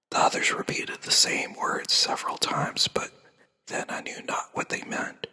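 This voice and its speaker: A soothing whisper at a fairly slow pace. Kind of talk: sleep story reading, classic book read aloud. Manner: soft, whispered, soothing.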